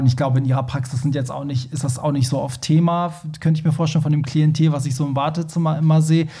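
Here a man speaks at a very fast pace in a fairly high pitch. His voice is somewhat breathy, with monotone, flat intonation. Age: 30s. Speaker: podcast host. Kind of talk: casual chat.

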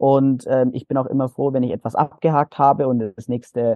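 A man with an unremarkable speaking voice of medium pitch talks at a moderate pace with fairly even intonation. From Bavaria, Nuremberg (Franconia). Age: young. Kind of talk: interview testimony.

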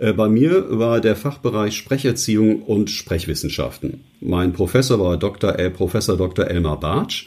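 A man with an unremarkable speaking voice, a fairly low pitch, ordinary pitch variation, and a fairly slow pace. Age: 60s. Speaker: news announcer and voice coach. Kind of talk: interview.

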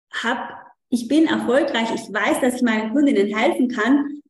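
Audible room echo around a woman's fairly high pitch, with ordinary pitch variation. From South Tyrol, Italy. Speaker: coach for mothers. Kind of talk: interview. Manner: halting, many fillers.

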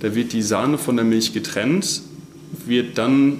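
There is audible room echo and noticeable background noise. A man talks at a medium pitch and a fairly slow pace with fairly even intonation. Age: 20s. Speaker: dairy technologist. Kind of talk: interview. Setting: on the farm.

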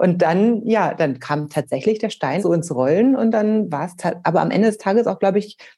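A woman at medium pitch talks at a fairly quick pace with a dark, mellow tone and lively intonation. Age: 40s. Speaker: author and parent. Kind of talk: interview. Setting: remote call.

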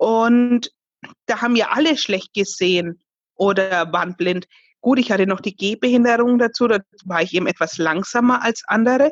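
In a dry, close sound with no echo, a woman speaks at a moderate pace and medium pitch with lively intonation. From Bavaria, Fürth (Franconia). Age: 30s. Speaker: singer. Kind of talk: interview.

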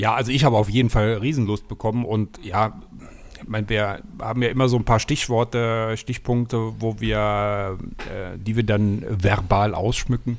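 A man speaks in a fairly low pitch with monotone, flat intonation. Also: moderate pace. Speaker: travel podcast co-host. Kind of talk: casual chat. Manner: talkative.

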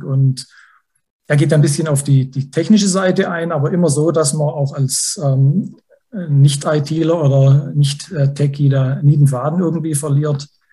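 Somewhat breathy and dark, mellow in tone, a man's fairly high-pitched voice moves at a fairly slow pace with fairly even intonation. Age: 40s. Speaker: finance journalist. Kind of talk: casual chat.

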